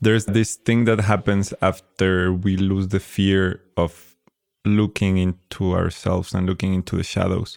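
A man talks at a fairly slow pace in a very deep, low pitch, with very even loudness and monotone, flat intonation. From Mexico, Tequisquiapan. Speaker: podcast host. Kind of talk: casual interview conversation. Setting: recorded on location in a small Mexican town.

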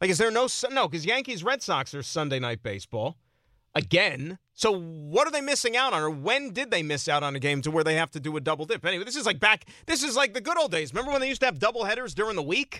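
Very fast and raised, a man projects a high-pitched, bright, sharp voice that swings very widely in pitch. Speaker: sports radio host. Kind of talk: sports talk radio. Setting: studio. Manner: animated.

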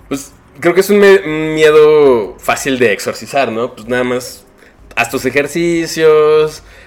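A man with a Mexican accent, fairly high-pitched, very slow, with ordinary pitch variation and big swings in loudness. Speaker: illustrator. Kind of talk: casual chat.

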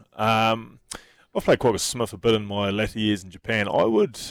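In a New Zealand accent, a man talks at a moderate pace with a fairly low pitch. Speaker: radio sports host. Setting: studio.

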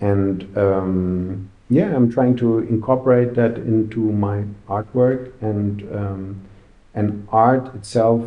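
A man's fairly low voice at a very slow pace, fairly even in intonation, with audible room echo. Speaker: graffiti artist. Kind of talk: interview.

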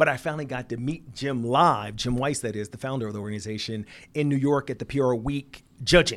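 On a very clean recording with a silent background, a man with an American accent speaks in a normal speaking voice at medium pitch, with ordinary pitch variation and a fairly quick pace. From Philadelphia, US Northeast. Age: 50s. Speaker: business founder and CEO. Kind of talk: interview. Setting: office.

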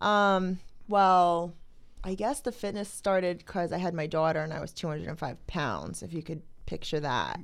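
With an American accent, a woman has an ordinary speaking voice, fairly low in pitch with ordinary pitch variation and a moderate pace. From New Jersey, Toms River. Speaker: strongwoman athlete. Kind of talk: casual chat.

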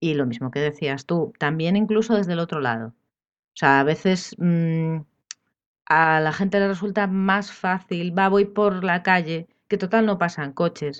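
A woman in a quiet background, fairly low-pitched, at a fairly slow pace with ordinary pitch variation, an unremarkable speaking voice. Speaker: architect. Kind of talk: casual chat.

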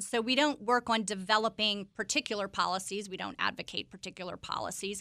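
In a very clean recording with a silent background, a woman with an ordinary speaking voice and fairly high pitch talks at a moderate pace with ordinary pitch variation. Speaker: executive director of a university politics institute. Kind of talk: interview.

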